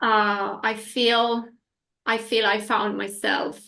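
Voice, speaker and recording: Speaking very slowly in an Italian accent, a woman is heard with audible room echo. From northern Italy. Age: 40s. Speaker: energy healing practitioner. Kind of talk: interview. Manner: animated.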